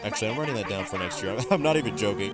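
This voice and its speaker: The speaker's intonation is lively. Behind the voice, music can be heard. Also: man. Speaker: gaming YouTuber. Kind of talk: casual video commentary. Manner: stuttering; animated.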